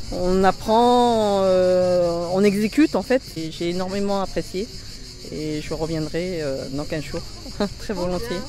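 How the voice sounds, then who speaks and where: A woman talks at a very slow pace with a medium pitch. Noticeable background noise sits behind her. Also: ordinary pitch variation. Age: 50s. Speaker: self-defense class participant. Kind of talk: testimonial interview.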